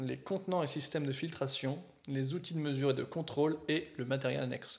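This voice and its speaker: This man's voice sits fairly high, with fairly even intonation. He talks at a fairly quick pace. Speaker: beer podcast co-host. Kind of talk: casual chat. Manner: fast.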